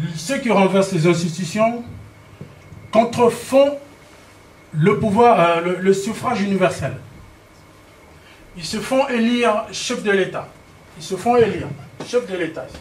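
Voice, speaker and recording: Pausing long and often, a man with a high pitch talks at a very slow pace, with ordinary pitch variation. Room echo is audible. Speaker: political speaker. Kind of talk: political speech with slides. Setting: public meeting in Paris. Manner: halting, many repetitions and fillers.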